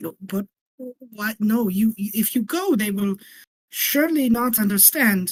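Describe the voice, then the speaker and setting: In a put-on character voice that sounds female, someone talks at a fairly slow pace with a fairly high pitch, leaving long, frequent pauses. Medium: actual play. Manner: halting, stammering.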